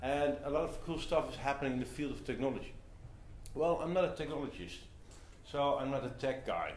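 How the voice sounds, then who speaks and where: A man talks at a fairly quick pace, with audible room echo and light background noise. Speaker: speaker. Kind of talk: talk to audience. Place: meeting room. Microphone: camera far.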